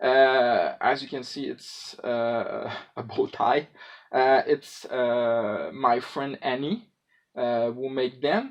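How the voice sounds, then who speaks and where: A man speaks very slowly in a Quebec accent. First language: French. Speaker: prop maker / hobbyist. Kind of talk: tutorial. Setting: filmed at home on cellphone. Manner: halting, many fillers. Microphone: cellphone recording, poor sound.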